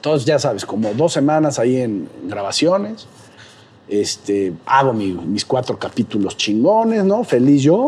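Over noticeable background noise, a man at medium pitch speaks at a fairly slow pace with very wide pitch swings. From Mexico, Puebla. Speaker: comedian and social media creator. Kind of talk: casual interview chat. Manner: animated.

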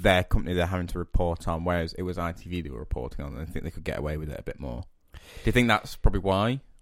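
On a very clean recording with a silent background, a man with a very deep, low pitch and an English accent talks very fast with vocal fry, ordinary pitch variation and big swings in loudness. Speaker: podcast co-host. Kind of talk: casual chat.

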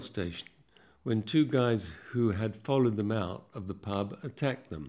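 Using a dark, mellow tone, a man speaks at a moderate pace with a medium pitch and ordinary pitch variation. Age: 70s. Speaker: lawyer. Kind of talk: interview.

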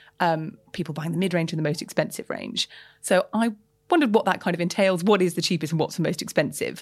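Her words rush out very fast, her voice somewhat breathy. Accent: London. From London. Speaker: journalist, podcast co-host. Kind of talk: casual chat.

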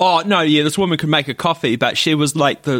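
A man's fairly high voice with a New Zealand accent, at a fairly quick pace. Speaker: podcast co-host. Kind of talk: casual chat.

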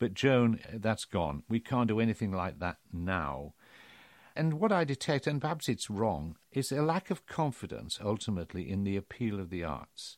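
Recorded very cleanly against a silent background, with a dry, close sound and no echo, a man with a British accent speaks at a moderate pace in a fairly low voice that swings very widely in pitch. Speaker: podcast host and former broadcaster. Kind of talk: casual interview chat.

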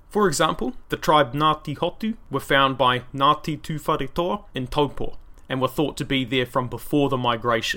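With a New Zealand accent, a man talks at a moderate pace with hardly any pauses, in a fairly high pitch with ordinary pitch variation. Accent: New Zealand accent, exaggerated by microphone. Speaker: history podcast host. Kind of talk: solo podcast narration. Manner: casual, conversational.

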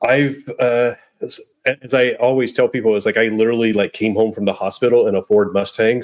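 Speaking fairly quickly, a male speaker keeps to a medium pitch. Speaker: EV YouTuber. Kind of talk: casual chat. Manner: halting, many fillers.

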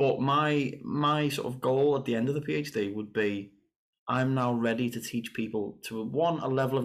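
Male voice with a strong Liverpool accent and fairly even intonation. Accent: strong Scouse. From northern England, Liverpool. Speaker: saxophonist and composer. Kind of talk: casual chat.

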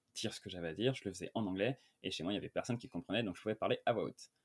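The dry, close sound with no echo carries a man's fairly low voice with ordinary pitch variation. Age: 20s. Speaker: screenwriter. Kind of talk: casual interview.

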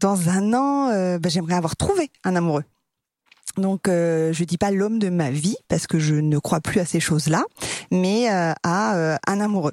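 An ordinary speaking voice from a woman, fairly low in pitch with ordinary pitch variation, very even in loudness, fairly slow, and dry and close with no echo. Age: 40s. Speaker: dating podcast guest. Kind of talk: recorded personal statement; casual chat.

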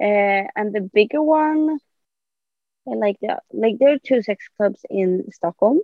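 A woman with a Swedish accent speaks very slowly, her pitch fairly high. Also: lively intonation. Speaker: podcast guest. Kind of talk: casual interview.

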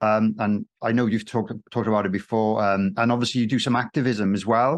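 Over a quiet background, a man with an ordinary speaking voice and medium pitch talks at a fairly quick pace with fairly even intonation. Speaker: podcast host and drummer. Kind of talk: casual interview chat.

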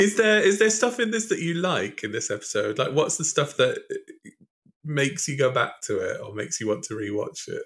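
The recording is very clean with a silent background. A man speaks in a British accent at a fairly quick pace. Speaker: podcast host. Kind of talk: casual chat; scripted introduction.

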